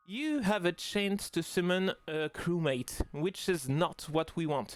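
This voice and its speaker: A man with a French accent, high-pitched and very slow. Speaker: mobile game tutorial youtuber. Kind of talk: tutorial. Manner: halting, many fillers.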